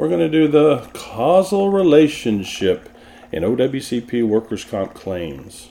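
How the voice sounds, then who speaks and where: A man with a Texan accent speaks at a very slow pace. His medium pitch swings very widely. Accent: Texan (US Southern). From Texas. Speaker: workers' compensation consultant and podcast host. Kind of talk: educational tutorial.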